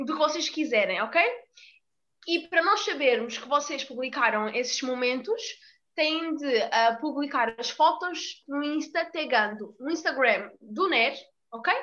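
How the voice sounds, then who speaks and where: A woman's high-pitched, bright, sharp voice, raised and projected, with lively intonation and a fairly slow pace. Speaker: student podcast host. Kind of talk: casual chat.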